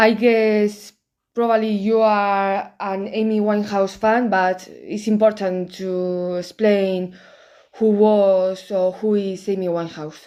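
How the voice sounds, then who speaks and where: A woman with a strong Spanish accent, medium pitch, monotone flat intonation and a very slow pace, on a very clean recording with a silent background. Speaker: YouTuber commenting on films. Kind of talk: casual video commentary. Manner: careful over-articulated pronunciation.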